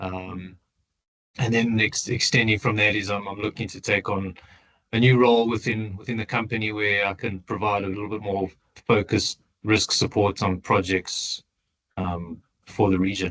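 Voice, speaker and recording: Monotone, flat delivery in a South African accent. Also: man, fairly low pitch for a man, moderate pace. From South Africa, Johannesburg. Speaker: tailings engineer. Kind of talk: interview. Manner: halting, many repeated words.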